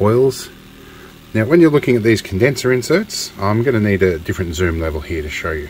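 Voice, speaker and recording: A man speaks at a fairly low pitch over light background noise. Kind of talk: tutorial. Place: workshop. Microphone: phone near.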